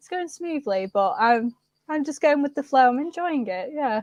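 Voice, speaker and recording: This woman has a northern English accent and a high, dark, mellow voice. She speaks fairly slowly, and the sound is dry and close with no echo. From northern England, Preston, Lancashire. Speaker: social media creator. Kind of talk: casual chat.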